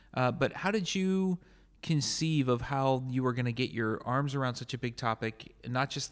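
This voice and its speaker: A man speaks in a plain, everyday voice. His intonation is lively. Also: very clean recording, silent background. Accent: American. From United States. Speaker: podcast host and military history professor. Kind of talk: interview. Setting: hotel room at a conference.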